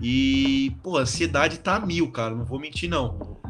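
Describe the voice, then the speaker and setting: A man speaks fairly slowly in a fairly high pitch, with very wide pitch swings. Noticeable background noise runs under his voice. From Brazil, São Paulo state (São Bernardo). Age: 20s. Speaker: professional handball player. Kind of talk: casual interview.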